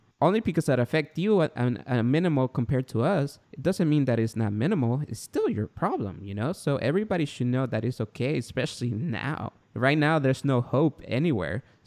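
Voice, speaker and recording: A man with medium pitch and an ordinary speaking voice talks at a fairly quick pace with lively intonation and hardly any pauses. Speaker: parenting podcaster and author. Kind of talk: interview.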